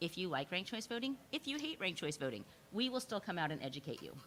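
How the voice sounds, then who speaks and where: Very fast and with a bright, sharp tone, a woman speaks. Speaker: election reform advocate. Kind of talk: presentation.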